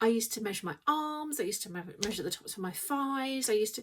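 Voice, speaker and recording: A woman with an English accent talks at a fairly quick pace. Her voice is somewhat breathy, with lively intonation. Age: 50s. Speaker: weight loss vlogger. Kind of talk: casual vlog chat. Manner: hesitant, filler-heavy.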